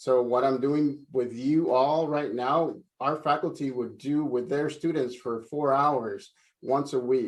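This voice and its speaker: In a quiet background, a man with a Spanish accent speaks fairly slowly in a fairly high pitch, with fairly even intonation. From El Salvador, moved to San Francisco Bay Area at nine. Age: 40s. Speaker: career speaker, adult education staff. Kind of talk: virtual career talk to students. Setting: live video stream.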